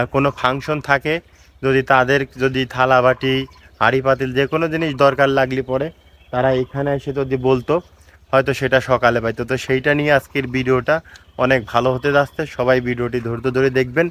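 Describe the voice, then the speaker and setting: A medium-pitched man speaks in a monotone, flat intonation. The sound is dry and close with no echo. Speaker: travel vlogger. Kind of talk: vlog narration to camera. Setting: outdoors by a pond.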